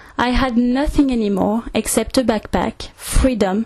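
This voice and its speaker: Speaking very slowly, a woman uses a fairly high pitch with ordinary variation. She has a French accent. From France, Orléans. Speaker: travel video maker. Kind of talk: scripted narration.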